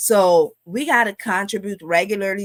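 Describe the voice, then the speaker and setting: A woman speaks in a Guyanese accent at a fairly slow pace, with ordinary pitch variation. The sound is dry and close with no echo, on a very clean recording with a silent background. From Guyana. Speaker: financial educator, live stream host. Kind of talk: live stream finance talk. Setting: live stream. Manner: casual, conversational with fillers.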